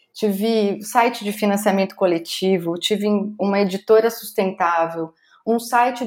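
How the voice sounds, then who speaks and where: A woman's unremarkable speaking voice, fairly high in pitch and fairly slow in pace. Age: 40s. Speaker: speaker and content curator. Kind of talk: interview podcast.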